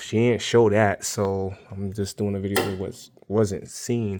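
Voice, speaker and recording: A quiet man with a fairly low pitch, flat monotone delivery and a fairly slow pace, over noticeable background noise. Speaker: DIY car repair vlogger. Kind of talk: tutorial. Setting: outdoors in the cold. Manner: quiet, low voice; halting, many fillers.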